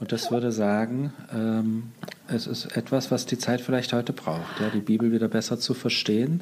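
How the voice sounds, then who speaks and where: Noticeable background noise surrounds a man of medium pitch. He keeps a moderate pace and fairly even intonation. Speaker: podcast host interviewer. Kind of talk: interview conversation.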